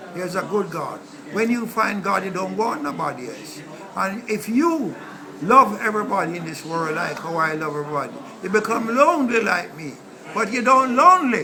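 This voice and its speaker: A man uses a raised, projected voice at a high pitch, with very wide pitch swings and big swings in loudness. There is audible room echo and noticeable background noise. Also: moderate pace. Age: 70s. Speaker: street preacher. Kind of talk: interview.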